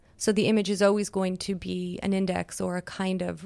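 A woman at medium pitch speaks at a moderate pace in a monotone, flat intonation on a very clean recording with a silent background. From Quebec, Montreal. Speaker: artist. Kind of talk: interview.

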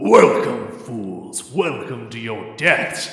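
A man's put-on character voice at medium pitch, very slow, with strong echo. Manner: evil, malevolent.

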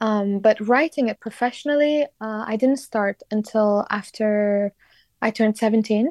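Moderate-paced speech in a Kurdish accent, with a dry, close sound and no echo. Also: woman, fairly high pitch for a woman, ordinary pitch variation. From Iraqi Kurdistan, Sulaymaniyah. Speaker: singer-songwriter. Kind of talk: interview. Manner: hesitant, many fillers.

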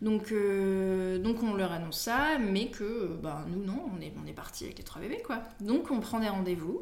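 Lively, medium-pitched speech from a woman, with audible room echo. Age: 20s. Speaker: expectant mother of triplets. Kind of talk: casual chat.

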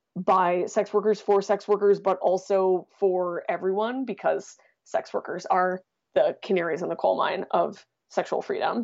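Delivery runs at a moderate speed. Pitch movement is fairly even throughout. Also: woman, medium pitch for a woman. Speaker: writer and podcast host. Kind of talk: casual interview. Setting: remote recording from home.

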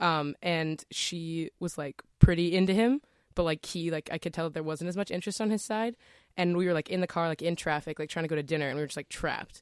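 Talking at a very fast pace, a woman with a fairly low pitch is heard on a very clean recording with a silent background, dry and close with no echo. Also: ordinary pitch variation. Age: 20s. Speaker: student guest. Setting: studio.

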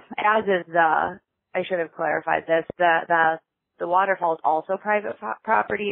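Here is a woman with an unremarkable speaking voice and an American accent, pitched fairly low. Her pitch variation is ordinary and her pace moderate. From Chicago, US Midwest. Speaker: podcast listener leaving a voicemail. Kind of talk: voicemail message.

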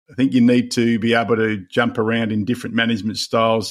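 Very fast speech from a man in an Australian accent, very clean recording, background silent. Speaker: leadership author. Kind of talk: podcast interview.

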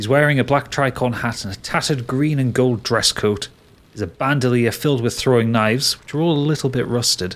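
Simply a natural reading voice

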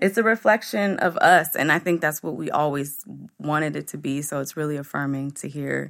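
Her voice is very deep and low for a woman, with vocal fry and ordinary pitch variation. The woman speaks at a moderate pace on a very clean recording with a silent background. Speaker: magazine founder and editor. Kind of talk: interview conversation.

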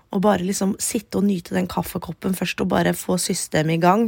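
A woman's medium-pitched voice with vocal fry at a fairly quick pace. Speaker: podcast host. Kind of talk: casual chat. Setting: in bed at home.

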